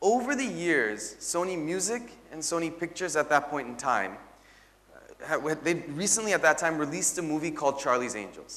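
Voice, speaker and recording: Speaking at a moderate pace with an American accent, a man uses a high pitch with very wide pitch swings and big swings in loudness. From US until age 12, then India. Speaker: venture capital investor. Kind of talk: corporate talk to company staff. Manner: conversational, some hesitations.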